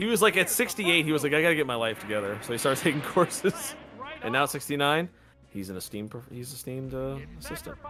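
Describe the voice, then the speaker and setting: A man races along at a very fast pace, pitched fairly high, with very wide pitch swings and big swings in loudness. Noticeable background noise runs underneath. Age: 30s. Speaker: game streamer. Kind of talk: casual chat. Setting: live stream.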